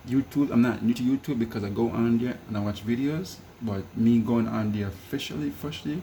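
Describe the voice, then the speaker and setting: Somewhat breathy, a man talks at a fairly low pitch with ordinary pitch variation. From Jamaica. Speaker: home cook and vlogger. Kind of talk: casual cooking vlog. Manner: casual, repetitive.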